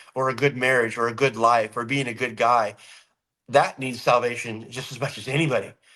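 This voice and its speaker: Loud and fairly quick, a man with an American accent speaks at a medium pitch with a bright, sharp tone. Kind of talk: casual chat. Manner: animated.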